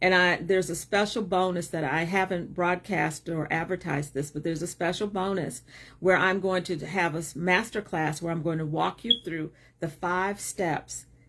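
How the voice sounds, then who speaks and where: A woman with a plain, everyday voice and a fairly low pitch speaks at a moderate pace with fairly even intonation on a very clean recording with a silent background. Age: 60s. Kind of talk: livestream talk. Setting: live video stream.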